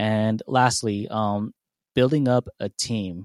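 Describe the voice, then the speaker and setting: An ordinary speaking voice with an American accent and fairly even intonation. The recording is dry and close, with no echo. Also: man. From San Diego, California. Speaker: aspiring DJ, voicemail caller. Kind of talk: voicemail message.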